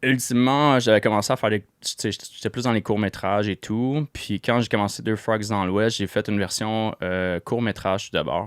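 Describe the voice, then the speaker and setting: With a Quebec accent, a man with a fairly low voice speaks at a moderate pace with hardly any pauses, in a dry, close recording with no echo and a silent background that is very clean. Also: fairly even intonation. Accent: Québécois French. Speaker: entrepreneur and former actor. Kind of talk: podcast interview. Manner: hesitant, many fillers.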